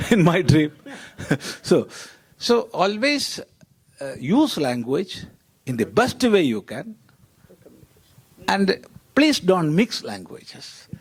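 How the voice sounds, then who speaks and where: A man with a Keralan accent speaks very slowly in a high pitch, leaving long, frequent pauses. His pitch swings very widely and his loudness rises and falls sharply. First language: Malayalam. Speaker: panelist, monastic scholar. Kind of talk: panel discussion.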